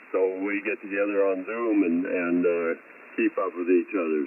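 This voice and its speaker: Lively intonation marks a man's fairly quick speech. Noticeable background noise is heard too. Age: 80s+. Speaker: ham radio operator, farmer. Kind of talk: ham radio check-in.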